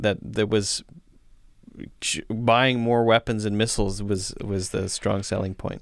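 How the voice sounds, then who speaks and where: At a fairly slow pace and with ordinary pitch variation, the voice comes through a very clean recording with a silent background. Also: man. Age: 30s. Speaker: podcast co-host discussing films. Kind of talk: casual chat. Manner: halting.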